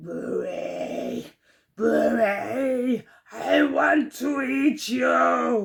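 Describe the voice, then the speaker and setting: At a very slow pace, a man growls in a put-on character voice. The sound is raspy. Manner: menacing.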